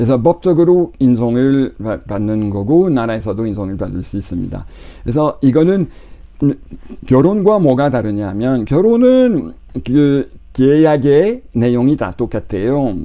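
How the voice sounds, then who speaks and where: Speaking at a fairly slow pace, a man of medium pitch uses very wide pitch swings in a dark, mellow tone. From Quebec, Canada. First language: French (speaking Korean). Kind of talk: lecture. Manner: halting.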